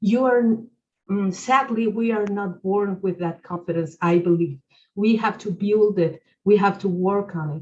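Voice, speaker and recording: Somewhat breathy, a woman speaks at a medium pitch and a fairly slow pace, with ordinary pitch variation. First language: not English. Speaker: webinar speaker. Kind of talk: webinar Q&A answer. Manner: halting, many fillers.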